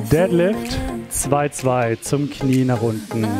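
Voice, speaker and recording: A man speaks with clear music playing in the background. The sound is dry, with no echo. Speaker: fitness instructor. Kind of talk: workout class instruction. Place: gym. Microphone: headset.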